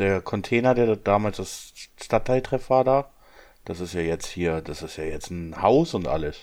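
In a plain, everyday voice, a man talks at a moderate pace with a fairly low pitch and lively intonation, recorded very cleanly against a silent background. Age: 30s. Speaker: employee. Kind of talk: casual chat.

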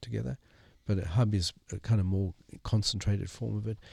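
In a dry, close recording with no echo, very clean and with a silent background, a man speaks with a somewhat breathy, fairly low-pitched voice. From South Africa. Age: 60s. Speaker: missional movement strategist and author. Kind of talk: interview.

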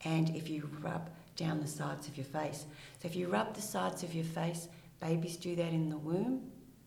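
Amid noticeable background noise and audible room echo, a woman with an Australian accent speaks in a fairly low pitch at a moderate pace, with ordinary pitch variation and long, frequent pauses. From rural Victoria, Australia. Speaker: retired police detective, clinical psychologist. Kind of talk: interview.

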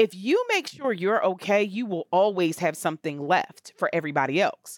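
Recorded very cleanly against a silent background, a woman uses a normal speaking voice at a medium pitch. Her intonation is lively, her pace moderate, and the sound dry and close with no echo. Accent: American. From Camden, New Jersey. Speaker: therapist. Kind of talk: interview, casual chat.

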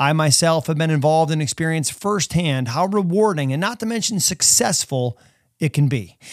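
A man talks in an ordinary speaking voice, fairly high in pitch, at a fairly quick pace with lively intonation. The recording is very clean, with a silent background. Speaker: mental performance coach and podcast host. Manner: gently repetitive, counting down and listing body parts.

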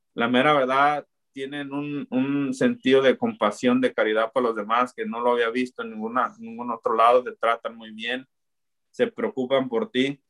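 A man talks in an unremarkable speaking voice at medium pitch and a moderate pace. His intonation is fairly even, but his loudness swings widely. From Mexico, Zapopan (Guadalajara), Jalisco. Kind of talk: faith testimony.

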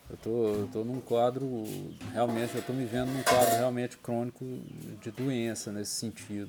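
A man's medium-pitched voice, monotone and flat, over noticeable background noise. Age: 30s. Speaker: church member giving testimony. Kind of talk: personal reflection monologue. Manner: slow; halting.

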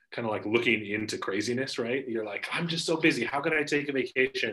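A man with a Pacific Northwest accent, medium-pitched and bright and sharp in tone, at a fairly quick pace with lively intonation. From US Pacific Northwest, Spokane, Washington. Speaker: financial advisor and podcaster. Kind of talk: casual interview chat.

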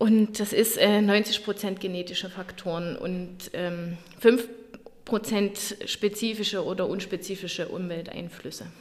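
A woman talks fairly slowly in an unremarkable speaking voice, with ordinary pitch variation. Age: 30s. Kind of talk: interview.

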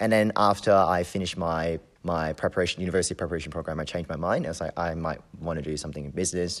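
In a Hong Kong accent, a man with a very deep, low pitch talks at a very fast pace with fairly even intonation on a very clean recording with a silent background. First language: Cantonese. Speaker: community member and university student. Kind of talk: interview.

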